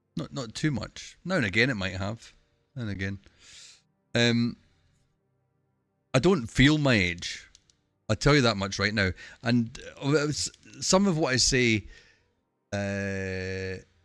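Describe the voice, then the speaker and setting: A man's medium-pitched voice with lively intonation, at a fairly slow pace with long, frequent pauses, over music in the background. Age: 40s. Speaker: streamer. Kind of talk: casual chat. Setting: live stream.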